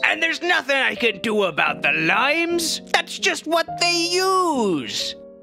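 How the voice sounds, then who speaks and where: Over clear music in the background, someone delivers lines in a put-on character voice at a fairly slow pace. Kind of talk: comic overacting. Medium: comedy sketch. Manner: boisterous, hearty.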